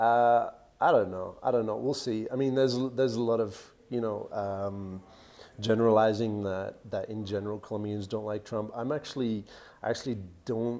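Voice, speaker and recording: A man in an American accent, medium-pitched with a dark, mellow tone, fairly even intonation and a moderate pace. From Australia, also US and Canada. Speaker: vlogger and real estate investor. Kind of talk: live Q&A stream. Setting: coworking space cafe. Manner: hesitant, many fillers and repetitions.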